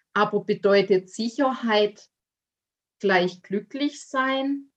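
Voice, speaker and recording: The delivery moves at a very slow pace. Intonation stays fairly even throughout. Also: woman. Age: 30s. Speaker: life coach and author. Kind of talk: personal testimony in interview.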